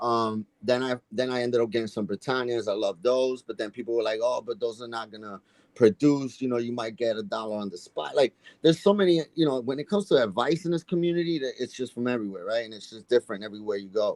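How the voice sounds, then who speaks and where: Very fast and with a New York accent, a man speaks at medium pitch with lively intonation and big swings in loudness, the sound dry and close with no echo. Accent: heavy New York. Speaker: coin collecting youtuber. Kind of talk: casual chat.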